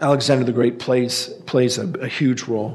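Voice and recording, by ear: Putting on a character voice, a man speaks at a medium pitch and a moderate pace. His voice is hoarse.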